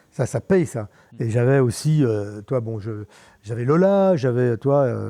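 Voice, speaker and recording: Against a quiet background, a man with a medium-pitched voice speaks very slowly, his intonation lively. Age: 70s. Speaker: mountain bike pioneer and former bar owner. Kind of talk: casual interview chat. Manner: halting, many repetitions and fillers.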